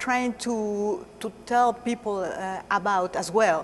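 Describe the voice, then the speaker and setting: A woman's fairly high voice in a Mexican accent, at a fairly slow pace with ordinary pitch variation. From Mexico. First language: Spanish. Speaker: stage actress. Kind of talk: interview. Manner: hesitant, many fillers.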